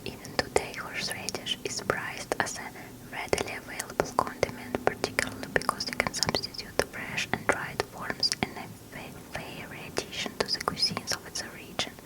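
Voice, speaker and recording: Whispering at a fairly quick pace is heard with noticeable background noise. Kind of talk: ASMR book reading. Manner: whispered, soft-spoken.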